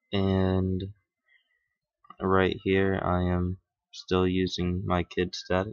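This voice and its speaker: Quiet and very slow, a man speaks in a very deep, low pitch with monotone, flat intonation, very even loudness, long, frequent pauses and a dry, close sound with no echo. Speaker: gaming YouTuber. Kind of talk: let's play commentary. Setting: at home at night.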